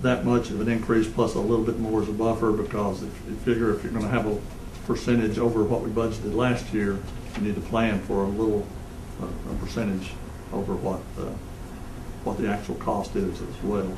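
Noticeable background noise sits under a man's voice. He talks fairly quickly at a fairly low pitch, in a flat monotone. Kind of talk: meeting business presentation. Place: meeting room. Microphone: podium.

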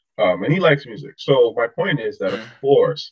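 A man is speaking. His pace is moderate. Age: 30s. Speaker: YouTuber and filmmaker. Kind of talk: heated debate. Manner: assertive.

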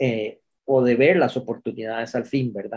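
A man with a Costa Rican accent speaks at a fairly slow pace. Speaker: pharmacist. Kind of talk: webinar comment.

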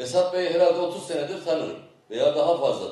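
A man speaks with fairly even intonation, and some room echo can be heard. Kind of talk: ceremonial speech. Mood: warm, praising. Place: open country. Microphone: podium.

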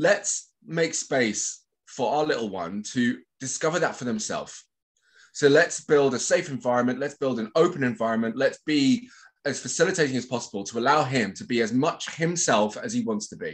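A man with a West Country accent against a quiet background. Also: lively intonation, moderate pace. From England, Bristol; England. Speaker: social cohesion consultant; podcast guest. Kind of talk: casual chat. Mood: thoughtful, warm. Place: home room. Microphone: webcam.

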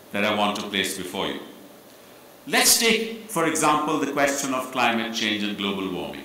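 The voice shows ordinary pitch variation over light background noise, with audible room echo. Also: man. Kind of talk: formal speech. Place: hall. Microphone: podium.

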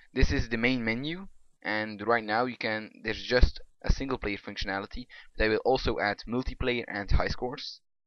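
A man speaking at a fairly quick pace with a non-native accent. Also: medium pitch for a man, ordinary pitch variation. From Belgium. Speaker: hobby game programmer. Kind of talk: casual screen-recorded software demo.

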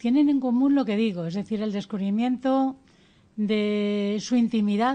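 A woman's fairly high, dark, mellow voice at a fairly slow pace, with ordinary pitch variation, against a quiet background. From Spain, Ceuta and Melilla area. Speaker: educator and author. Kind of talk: radio interview. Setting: studio.

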